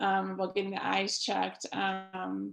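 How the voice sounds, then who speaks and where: A woman speaks with an American accent. Her pace is fairly slow. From Wisconsin. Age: 30s. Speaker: optometrist. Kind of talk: Q&A presentation. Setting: video call.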